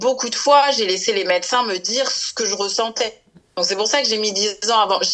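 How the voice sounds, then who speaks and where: Music plays in the background as a woman with a fairly high pitch talks at a moderate pace with ordinary pitch variation. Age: 30s. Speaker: marketing worker and women's health association founder. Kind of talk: interview. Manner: halting, many fillers.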